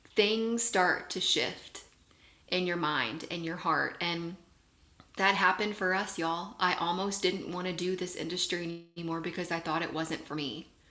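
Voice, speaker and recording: In a room with audible echo, a woman with a fairly low pitch and a bright, sharp tone talks at a moderate pace with ordinary pitch variation. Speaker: network marketing leader, guest speaker. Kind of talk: motivational talk on a video call.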